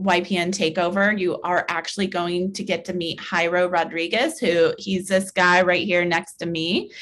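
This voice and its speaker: A woman with an American accent sounds enthusiastic and upbeat, speaking at a fairly slow pace in a medium pitch. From US Midwest. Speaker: realtor and real estate trainer. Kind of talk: webinar tutorial. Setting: video call webinar. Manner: enthusiastic, upbeat; casual, uses many fillers. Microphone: video call.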